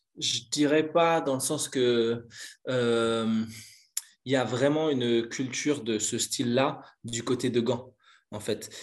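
Against a quiet background, the speaker goes at a very slow pace with fairly even intonation. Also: man, medium pitch for a man. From Belgium, near Brussels. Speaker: breakdancer. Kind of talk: casual interview.

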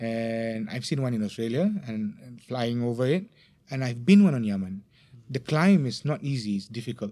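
A man with a Malaysian accent speaks at a medium pitch in a dark, mellow tone. His intonation is lively, with big swings in loudness. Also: moderate pace. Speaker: religious teacher. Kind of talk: religious talk in casual podcast interview. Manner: laughs often.

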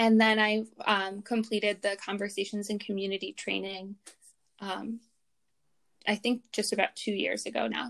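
In a very clean recording with a silent background, a woman at medium pitch speaks in a monotone, flat way at a moderate pace, with long, frequent pauses. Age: 30s. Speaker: fertility awareness educator and schoolteacher. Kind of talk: casual interview.

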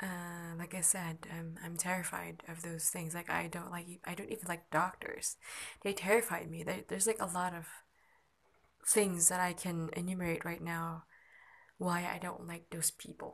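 A woman talks at a moderate pace in a fairly low, somewhat breathy voice. Her intonation stays monotone and flat. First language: not English. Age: 20s. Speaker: amateur podcaster. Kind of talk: personal monologue. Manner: halting.

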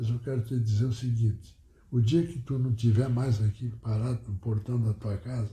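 Somewhat breathy, a man's dark, mellow tone at a medium pitch with fairly even intonation. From Rio Grande do Sul, Brazil. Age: 90s. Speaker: retired tailor and former local politician. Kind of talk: oral history interview. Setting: at his home. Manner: halting.

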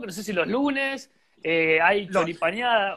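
At a moderate pace, a man speaks in a high pitch with lively intonation. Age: 30s. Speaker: golf radio host. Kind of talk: casual interview. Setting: radio studio.

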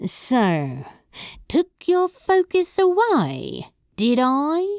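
At a very slow pace, a woman does a put-on character voice, high in pitch with very wide pitch swings and a slightly mellow tone, on a very clean recording with a silent background.

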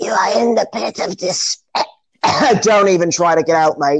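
A put-on character voice, raspy and hoarse, at a middle pitch and a moderate pace. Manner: ominous.

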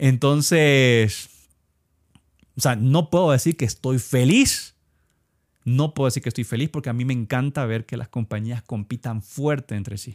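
In a very clean recording with a silent background and a dry, close sound with no echo, a man speaks at a fairly slow pace in a medium pitch with ordinary pitch variation and long, frequent pauses. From Ecuador. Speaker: video game podcaster. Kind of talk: solo podcast commentary. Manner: halting, many fillers and repetitions.

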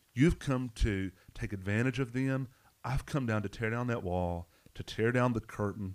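In a Southern US accent, a man speaks with ordinary pitch variation on a very clean recording with a silent background. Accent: Southern US, noticeable twang. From Arkansas. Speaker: pastor. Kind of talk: Bible study discussion, podcast.

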